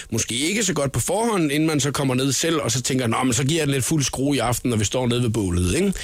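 With lively intonation, the speech races along at a very fast pace with hardly any pauses and very even loudness. Noticeable background noise can be heard. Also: man, fairly high pitch for a man. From Funen, Denmark. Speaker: radio host. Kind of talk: casual radio chat. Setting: radio studio.

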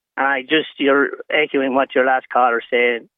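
Speaking in an Irish accent, a man keeps a monotone, flat intonation at medium pitch and a moderate pace. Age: 60s.

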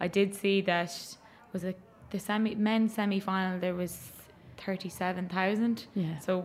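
With an Irish accent, a woman speaks at medium pitch in a monotone, flat intonation. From Ireland, County Mayo. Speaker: gaelic footballer. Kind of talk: casual chat.

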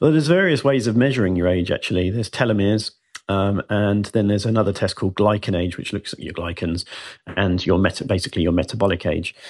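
A man with a British accent, fairly low-pitched, at a very fast pace. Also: ordinary pitch variation, quiet background. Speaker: biohacker and former marketing CEO. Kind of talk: radio interview.

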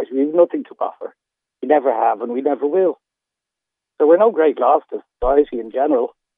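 Speaking fairly quickly in an Irish accent, a man with a fairly high pitch uses ordinary pitch variation, long and frequent pauses, and big swings in loudness. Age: 50s. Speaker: caller. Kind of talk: phone-in call. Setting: phone call. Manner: halting.

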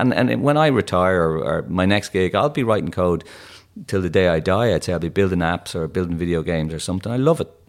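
A man with a Dublin accent talks at a very fast pace, his very deep, low pitch carrying lively intonation. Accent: Irish (Dublin). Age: 50s. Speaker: tech entrepreneur. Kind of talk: interview.

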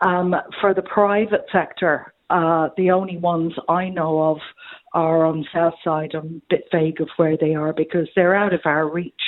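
The speaker has an Irish accent, a monotone, flat intonation and a moderate pace. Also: woman, fairly low pitch for a woman. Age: 70s. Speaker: caller. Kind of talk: phone-in radio chat. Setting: phone call.

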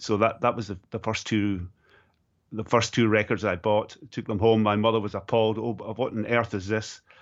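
A man speaks at a moderate pace with a Scottish accent, his fairly low voice held in a monotone, flat intonation. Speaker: golf journalist and former musician. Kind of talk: casual chat.

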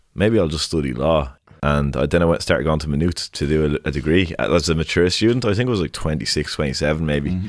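A man speaks in a very deep, low pitch with vocal fry and lively intonation. The recording is very clean, with a silent background. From Dublin, Ireland. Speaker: hip hop artist and dog walker. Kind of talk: casual interview chat.

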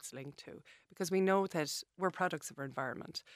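A woman with an Irish accent speaks with fairly even intonation, the sound dry and close with no echo. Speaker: dietitian. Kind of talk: interview. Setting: studio.

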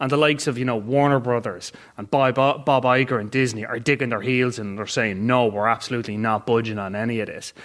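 With an Irish accent, a man speaks very fast at a medium pitch, his intonation fairly even and hardly any pauses. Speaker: film critic. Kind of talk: live panel film review.

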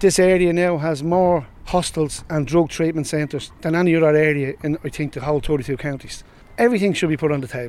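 A man with a Dublin accent speaks at a very fast pace. His pitch is fairly high, with ordinary variation. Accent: Dublin Irish. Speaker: community resident, former anti-drugs activist. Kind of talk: recorded interview.

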